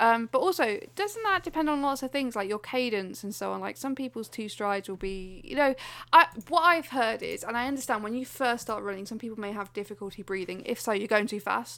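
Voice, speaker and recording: A woman speaks in a plain, everyday voice, fairly high in pitch with lively intonation and a fairly quick pace. The recording is very clean, with a silent background. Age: 30s. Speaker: podcast co-host. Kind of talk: casual chat.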